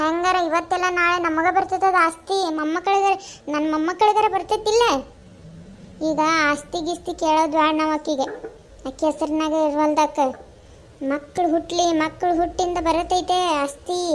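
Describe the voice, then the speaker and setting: Over light background noise, a woman uses a cartoonish character voice at an extremely high pitch, speaking at a fairly slow pace with fairly even intonation. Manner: scolding, nagging.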